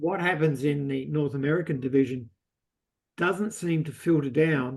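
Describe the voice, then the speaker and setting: With ordinary pitch variation, this man talks in a fairly high register. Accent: Australian. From Australia. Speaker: audience member asking a question. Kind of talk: Q&A discussion. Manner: halting, many fillers.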